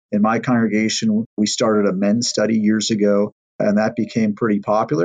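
A man with a plain, everyday voice talks fairly quickly at a medium pitch, his pitch varying in an ordinary way. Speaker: pastor, teacher. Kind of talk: teaching, explaining.

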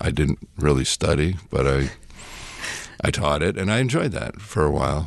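A man speaks with a very deep, low pitch and vocal fry. He keeps a moderate pace. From New England, with teen years in Mexico and Spain. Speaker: seminary professor and pastor. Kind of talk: casual interview. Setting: studio.

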